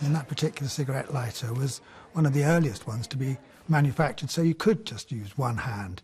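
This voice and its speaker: At a very fast pace, a man with a medium pitch talks in a somewhat breathy voice with lively intonation. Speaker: antiques valuer and auctioneer. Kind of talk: TV antiques valuation.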